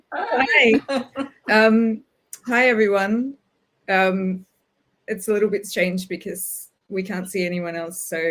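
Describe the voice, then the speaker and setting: Speaking with an Australian accent, a woman uses a medium pitch at a very slow pace. Her speech has long, frequent pauses. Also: ordinary pitch variation. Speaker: writer. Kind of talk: casual talk before a reading. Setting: video call. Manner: hesitant, many fillers.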